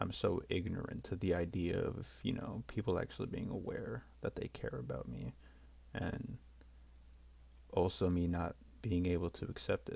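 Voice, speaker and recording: With a very deep, low pitch and a dark, mellow tone, a man speaks at a moderate pace, using vocal fry, very wide pitch swings, and long, frequent pauses. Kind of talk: unscripted personal talk about mental health. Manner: hesitant, stuttering.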